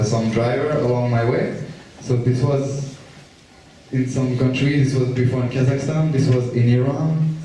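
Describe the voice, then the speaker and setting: A man with a French accent at a moderate pace and fairly even intonation, amid audible room echo and noticeable background noise. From France. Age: 20s. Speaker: traveler giving a school talk. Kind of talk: school presentation.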